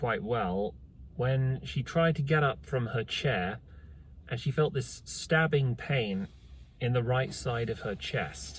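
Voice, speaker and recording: Somewhat breathy, a man of medium pitch talks at a fairly slow pace with lively intonation. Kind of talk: casual talk to camera. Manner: very slow.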